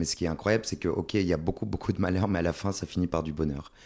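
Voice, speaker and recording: A man speaks with a very deep, low voice and a dark, mellow tone, recorded very cleanly against a silent background. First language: Swedish (speaking French). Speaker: stage actor. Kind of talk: podcast interview.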